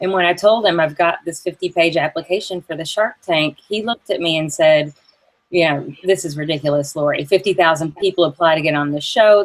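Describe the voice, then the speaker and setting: A woman talks at a fairly quick pace in a fairly low voice. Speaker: entrepreneur. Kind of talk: interview.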